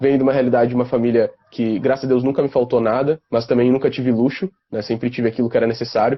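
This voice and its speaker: This man talks at a very fast pace with a medium pitch. His intonation is monotone and flat. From southern Brazil, Porto Alegre (Rio Grande do Sul). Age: 20s. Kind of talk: casual interview on a live stream.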